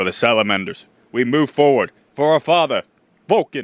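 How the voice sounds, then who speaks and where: A put-on character voice from a man, fairly high in pitch with very wide pitch swings, at a moderate pace. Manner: heroic, cool, proud.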